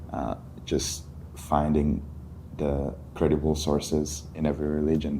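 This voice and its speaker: A man with a very deep, low pitch talks amid audible room echo. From Mali, West Africa. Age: 20s. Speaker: college student. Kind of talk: podcast interview.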